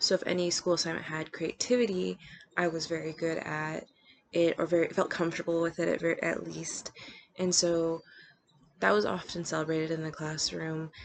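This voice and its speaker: At a moderate pace and with ordinary pitch variation, the voice comes through noticeable background noise. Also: woman, fairly low pitch for a woman. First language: bilingual Spanish and English. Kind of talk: personal reflection. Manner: hesitant, many fillers.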